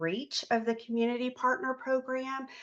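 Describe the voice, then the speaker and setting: In an unremarkable speaking voice, a woman talks at a moderate pace with a fairly high pitch. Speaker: state agency program representative. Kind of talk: conference presentation.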